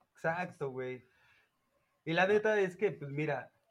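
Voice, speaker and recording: A man's fairly high voice in a Mexico City accent, at a very slow pace with ordinary pitch variation, on a very clean recording with a silent background. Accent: Mexico City Spanish (chilango). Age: 30s. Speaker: podcast co-host. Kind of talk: casual chat.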